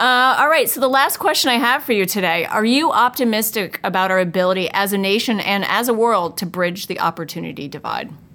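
The speaker has an unremarkable speaking voice and an American accent. The delivery is fairly quick and lively in intonation, with hardly any pauses. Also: woman, fairly high pitch for a woman. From upstate New York. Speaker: HR executive interviewer. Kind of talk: interview.

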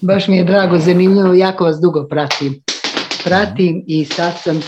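A woman's dark, mellow, somewhat breathy voice, fairly low in pitch with fairly even intonation. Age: 60s. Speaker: caller, grandmother. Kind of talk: casual chat.

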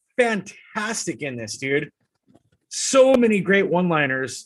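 His pitch rises and falls dramatically. The man's delivery is rather unhurried. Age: 30s. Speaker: podcast host. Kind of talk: casual chat.

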